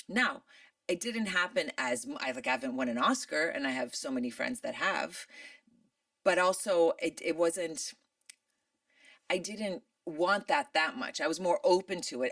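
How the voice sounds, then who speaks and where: A woman with an American accent speaks at a moderate pace and medium pitch, with very wide pitch swings, vocal fry, and long, frequent pauses. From Michigan, USA. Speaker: actress. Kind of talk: interview answer.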